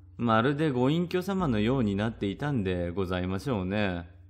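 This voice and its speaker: A man speaks at a moderate pace with lively intonation, music playing in the background. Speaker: storyteller reading a classic ghost story. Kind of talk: literary kaidan reading aloud, old-fashioned storytelling. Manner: formal, polite old-fashioned speech, narrating like an elderly woman.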